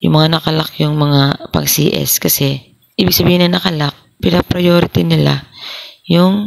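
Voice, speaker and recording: A soft-spoken woman talks at a moderate pace. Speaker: vlogger. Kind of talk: tutorial.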